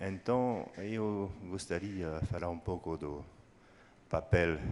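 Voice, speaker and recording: A man with a French accent talks at a very slow pace, his very deep, low voice carrying lively intonation. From France. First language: French (speaking Portuguese). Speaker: engineering professor, audience member. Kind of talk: audience question. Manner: hesitant.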